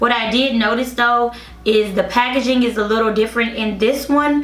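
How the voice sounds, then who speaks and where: High female voice with fairly even intonation, audible room echo and noticeable background noise. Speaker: beauty vlogger. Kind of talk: tutorial. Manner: casual, chatty.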